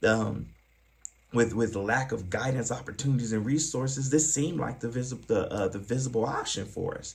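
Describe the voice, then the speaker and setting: Speaking with an American accent, a man uses a medium pitch with ordinary pitch variation. His voice is somewhat breathy, and his pace is fairly quick. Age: 40s. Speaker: former pimp turned youth advocate and trainer. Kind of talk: training presentation. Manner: fast; hesitant, filler-heavy.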